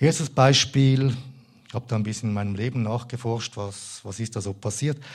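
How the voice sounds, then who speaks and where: At a moderate pace and medium pitch, a man talks with fairly even intonation and a somewhat breathy voice. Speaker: lay preacher. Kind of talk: sermon.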